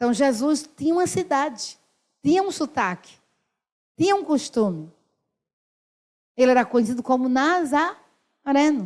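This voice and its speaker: A woman with a northeastern Brazilian accent, high-pitched and animated, with lively intonation, a fairly slow pace and long, frequent pauses, in a very clean recording with a silent background. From Brazil, Northeast. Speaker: pastor. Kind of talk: sermon.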